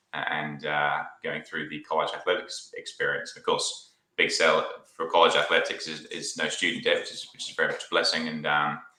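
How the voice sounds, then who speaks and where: Audible room echo around a man at a moderate pace, with big swings in loudness. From Australia, near Sydney (British family, born in UK). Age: 20s. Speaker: sales engineer. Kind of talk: casual interview chat.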